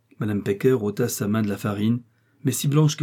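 A natural reading voice. Pitch varies in an ordinary way.

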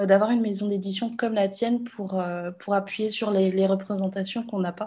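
The voice is dark, mellow and somewhat breathy, set against a quiet background. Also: woman. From Réunion. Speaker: podcast host. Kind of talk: interview.

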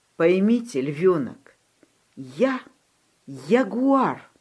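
A woman puts on a character voice at a very slow pace, her pitch fairly low with big swings. The tone is slightly mellow with a slightly husky edge.

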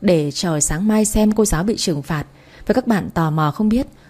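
The clip features a natural reading voice. It is a voice reading text aloud.

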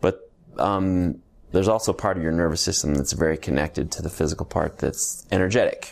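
Very deep, low male voice with vocal fry, fairly quick pace and ordinary pitch variation. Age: 40s. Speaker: wellness practitioner hosting a video podcast. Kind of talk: solo talk to camera. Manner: hesitant, many fillers.

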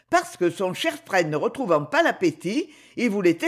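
Someone reads aloud in a natural voice.

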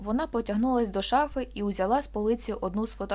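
Someone reads text aloud. The delivery is a natural voice.

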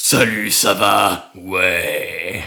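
In a raspy, put-on character voice, a man speaks.

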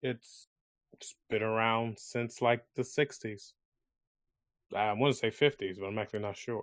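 Speaking at a fairly slow pace, a man with a medium pitch leaves long, frequent pauses. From South Central Los Angeles. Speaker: podcast co-host. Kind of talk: casual chat. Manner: animated.

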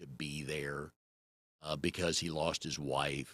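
A man with an American accent and vocal fry speaks very slowly, the sound dry and close with no echo. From US South, North Carolina (Raleigh). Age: 60s. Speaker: podcast host. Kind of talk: casual chat.

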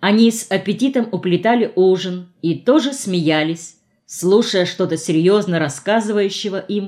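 Someone is reading aloud in a natural voice with ordinary pitch variation. The background is quiet.

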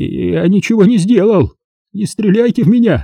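Using a put-on character voice pitched high for a man, he speaks at a moderate pace with ordinary pitch variation, in a dry, close sound with no echo. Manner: begging.

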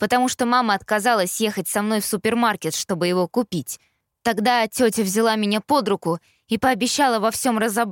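In a natural voice with ordinary pitch variation, a passage is read aloud against a quiet background.

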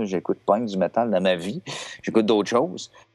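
A man with a Quebec accent and a fairly low pitch. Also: quiet background. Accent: Québécois French. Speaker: metal podcast co-host. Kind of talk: casual chat.

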